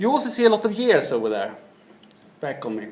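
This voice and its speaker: A man speaks with a Swedish accent. Noticeable background noise runs behind him. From Sweden. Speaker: business manager. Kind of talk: keynote presentation.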